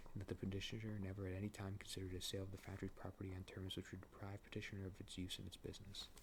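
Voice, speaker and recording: Soft-spoken and somewhat breathy, a man talks at a very fast pace with hardly any pauses. His intonation is monotone and flat. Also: fairly low pitch for a man. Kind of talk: ASMR sleep reading of a court case. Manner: casual, conversational, relaxed.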